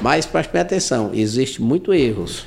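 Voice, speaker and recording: A man with a medium pitch and vocal fry swings his pitch very widely. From Ceará, Brazil. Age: 60s. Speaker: civil engineer and entrepreneur. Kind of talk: interview. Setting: in his office.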